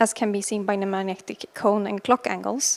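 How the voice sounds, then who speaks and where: A woman speaks softly at a moderate pace. Her pitch sits fairly high. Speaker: space physicist. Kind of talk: conference talk. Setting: lecture hall with audience, streamed. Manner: soft-spoken.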